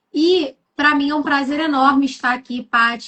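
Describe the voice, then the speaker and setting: A woman with a Rio de Janeiro accent, at a fairly slow pace, her intonation fairly even. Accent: carioca accent, noticeable. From Rio de Janeiro, Brazil. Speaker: guest speaker. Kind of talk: live stream chat. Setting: online live stream.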